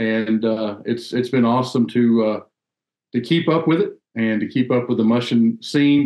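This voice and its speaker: A man with a Southern US accent talks at a moderate pace and medium pitch, keeping his loudness very even. The background is quiet, though room echo is audible. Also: ordinary pitch variation. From US South, North Carolina. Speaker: sled dog race judge and volunteer; sled dog race judge. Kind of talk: casual interview chat. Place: home room.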